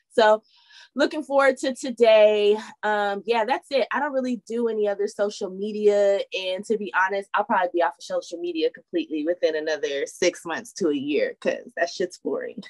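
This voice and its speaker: A woman's fairly high, lively voice at a fairly quick pace, dry and close with no echo. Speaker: co-host. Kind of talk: casual, profane panel chat reacting to a video. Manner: animated, blunt, sarcastic.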